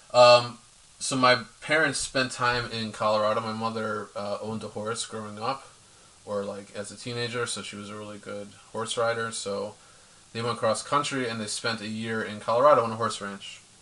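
Noticeable background noise sits behind a man with a medium pitch and an American accent who speaks at a moderate pace in a flat monotone, his loudness swinging widely. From US Northeast, Philadelphia. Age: 30s. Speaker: interview guest. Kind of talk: personal testimony.

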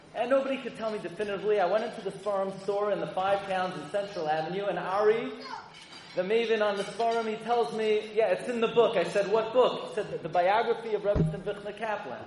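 Noticeable background noise sits behind a man speaking at a very fast pace. His pitch is high and his intonation fairly even. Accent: American. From US Northeast, Brooklyn. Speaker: rabbi. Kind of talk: speech to an audience. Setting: stage with audience.

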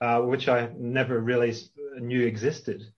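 Someone with a Northern Irish accent talks at a fairly slow pace. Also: man. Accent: Northern Irish (Belfast). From Northern Ireland, Belfast. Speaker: literature professor. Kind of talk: interview. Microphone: connection cut out briefly.

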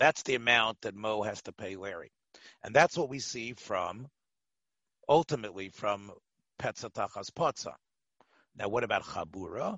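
Speaking at a moderate pace, a man with a medium pitch uses lively intonation, big swings in loudness, and long, frequent pauses. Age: 60s. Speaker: rabbi teaching Talmud class. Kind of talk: Talmud lecture.

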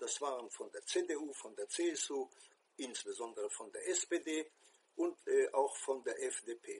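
A man at a very slow pace. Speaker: former Israeli envoy, commentator. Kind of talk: personal commentary monologue. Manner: hesitant, with frequent fillers.

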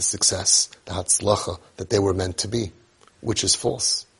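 A man with an American accent talks at a moderate pace in a somewhat breathy voice. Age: 50s. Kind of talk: monologue.

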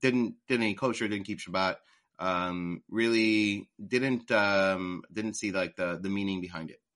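A man with an American accent speaks in a fairly low pitch with a bright, sharp tone. His pace is fairly slow and his intonation fairly even against a quiet background. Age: 40s. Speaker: e-commerce entrepreneur. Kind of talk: interview. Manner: halting, many fillers.

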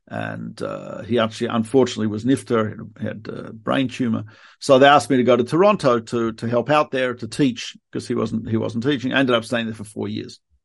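A man talks at a fairly quick pace with an Australian accent and fairly even intonation. There is vocal fry in his voice, and the background is quiet. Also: medium pitch for a man, big swings in loudness. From Australia, Melbourne. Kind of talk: interview. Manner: halting.

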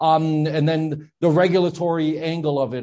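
An American accent comes through here. The voice belongs to a man. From New Jersey. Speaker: political activist and columnist. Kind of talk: interview. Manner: halting, many fillers.

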